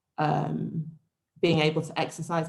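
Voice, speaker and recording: Vocal fry runs through a woman's very deep, low voice. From English Midlands, Warwickshire (near Rugby). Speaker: speaker at university event. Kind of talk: personal talk.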